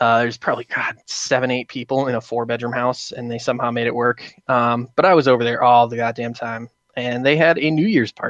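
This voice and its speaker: An ordinary speaking voice moves at a fairly quick pace with hardly any pauses and fairly even intonation, recorded with a dry, close sound with no echo. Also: man, medium pitch for a man, quiet background. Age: 20s. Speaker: podcast guest, friend of hosts. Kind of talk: casual chat. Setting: phone call.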